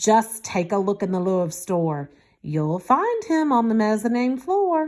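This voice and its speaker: A woman puts on a gruff character voice, fairly high in pitch, with very wide pitch swings. She speaks at a fairly slow pace. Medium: read story. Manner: gruff, grumpy.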